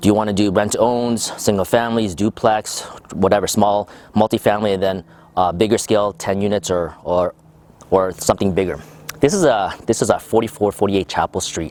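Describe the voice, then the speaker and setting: Here a man talks at a fairly quick pace. His pitch is fairly low and his intonation fairly even. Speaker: real estate investor. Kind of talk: interview. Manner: fast; hesitant, many fillers.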